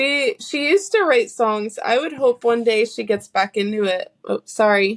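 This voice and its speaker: A woman with an American accent uses a plain, everyday voice, fairly high in pitch with lively intonation. She keeps a moderate pace with hardly any pauses, and the sound is dry and close with no echo. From US South, North Carolina. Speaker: singer-songwriter. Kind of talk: casual interview chat.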